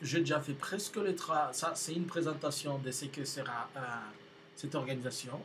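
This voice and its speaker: Over noticeable background noise, a man speaks at a fairly slow pace. His pitch is fairly high and his intonation fairly even. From DR Congo. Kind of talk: video announcement to viewers. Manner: halting, with many hesitations.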